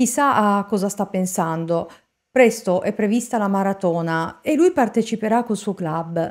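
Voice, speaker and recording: Against a quiet background, a woman speaks in a serious tone at a fairly slow pace with ordinary pitch variation. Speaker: true crime narrator. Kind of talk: true-crime narration. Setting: studio, solo video narration. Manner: measured, serious storytelling. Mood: serious, suspenseful. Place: home room. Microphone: studio mic.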